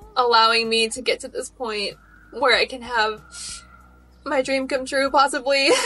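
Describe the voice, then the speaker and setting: Music can be heard in the background. The words come at a fairly slow pace. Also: woman. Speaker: pop and R&B singer. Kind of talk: crowdfunding appeal.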